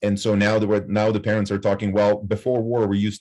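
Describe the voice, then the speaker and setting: In a Ukrainian accent, a man speaks at a fairly low pitch. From western Ukraine. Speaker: professor. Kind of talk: panel discussion. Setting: campus event with audience. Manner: halting.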